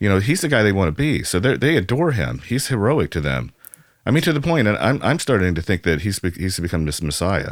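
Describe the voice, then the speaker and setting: Over a silent background in a very clean recording, a man with an American accent talks at a very fast pace, his fairly low pitch showing vocal fry and very wide pitch swings. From US Midwest. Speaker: visual artist. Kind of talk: interview. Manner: halting.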